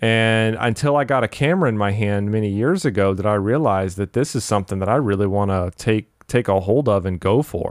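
Keeping his loudness very even, a man with a fairly low pitch and ordinary pitch variation talks at a fairly quick pace with hardly any pauses. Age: 30s. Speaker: podcast host. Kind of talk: solo casual monologue. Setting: home office. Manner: hesitant, many fillers and repeats.

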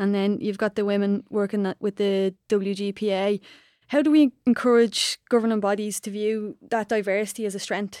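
With an Irish accent, this voice has a dark, mellow tone, a moderate pace and fairly even intonation, recorded dry and close with no echo against a silent background. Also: woman, medium pitch for a woman. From Ireland. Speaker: podcast co-host and former soccer player. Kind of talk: podcast interview.

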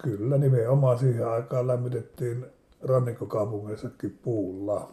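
The man's voice has a dark, mellow tone and a medium pitch. It is somewhat breathy. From Finland, Savonlinna area (Saimaa islands). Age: 70s. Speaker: interviewee recalling childhood. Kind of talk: casual reminiscence interview. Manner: halting, with fillers.

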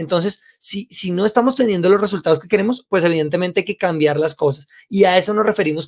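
Pitch variation is ordinary as a man speaks in a high voice. The sound is dry and close, with no echo. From Colombia, Bogotá. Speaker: sales trainer, podcast co-host. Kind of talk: casual chat.

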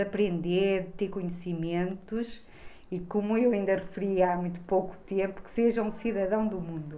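With audible room echo, a woman's medium-pitched voice carries a dark, mellow tone and fairly even intonation. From Trás-os-Montes, Portugal (Bragança). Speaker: school social worker. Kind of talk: interview.

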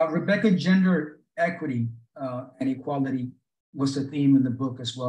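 Somewhat breathy, the voice moves at a moderate pace with ordinary pitch variation. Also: man. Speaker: podcast host. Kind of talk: interview conversation.

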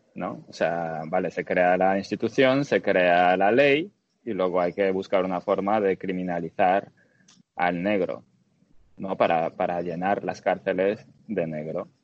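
Delivery comes at a fairly slow pace. The pitch moves up and down in an ordinary way. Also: man, very deep, low pitch for a man. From Dominican Republic. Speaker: podcast guest. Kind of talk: casual discussion.

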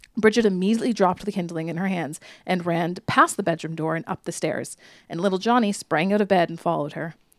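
Animated and playful, a woman talks at a very fast pace with a medium pitch. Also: ordinary pitch variation. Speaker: podcast co-host. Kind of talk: true-crime storytelling, reading a written account aloud in a dramatic narrative voice; casual chat between sisters. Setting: podcast recording. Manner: animated, playful, giggly; narrative, reading with character voices and pacing.

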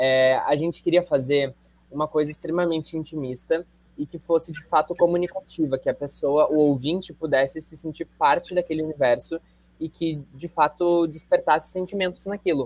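This man has an ordinary speaking voice with a fairly high pitch. He talks at a moderate pace, and his loudness swings a lot. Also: fairly even intonation, dry, close sound with no echo. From Rio Grande do Sul, Brazil. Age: 20s. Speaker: actor, singer and dancer. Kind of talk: interview.

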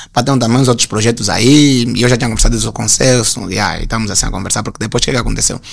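Over noticeable background noise, a man talks at a very fast pace. His intonation is fairly even. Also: medium pitch for a man, hardly any pauses. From Luanda, Angola (Sambizanga). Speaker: graphic designer. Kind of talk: casual interview chat.

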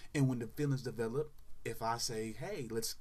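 The speaker talks at a fairly quick pace with an American accent. There is audible room echo. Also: man. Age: 30s. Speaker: sports podcaster. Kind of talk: casual solo commentary. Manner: animated.

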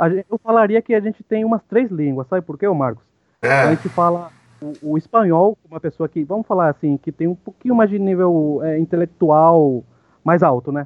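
At a fairly quick rate, a man talks in a high voice. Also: ordinary pitch variation. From Paraguay, Ciudad del Este. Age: 30s. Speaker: podcast guest. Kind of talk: casual chat. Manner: halting.

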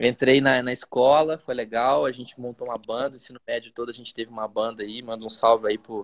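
A man with an unremarkable speaking voice talks at a moderate pace and medium pitch, recorded very cleanly against a silent background with a dry, close sound and no echo. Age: 30s. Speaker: business school executive and educator. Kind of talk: live interview chat.

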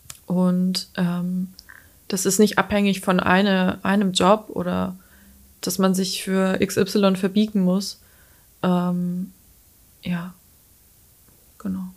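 A woman speaks at a medium pitch in a flat monotone, very slowly. Long, frequent pauses break up her words on a very clean recording with a silent background. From Lower Franconia, Bavaria. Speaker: freelance photographer and designer. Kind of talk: casual interview. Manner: hesitant, many fillers.

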